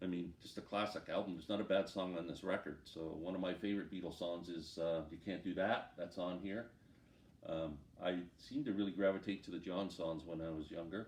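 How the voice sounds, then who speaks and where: Speaking in a Canadian accent, a man with a very deep, low pitch keeps a fairly quick pace and fairly even intonation. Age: 60s. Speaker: music collector. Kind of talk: casual talk to camera. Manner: casual, hesitant.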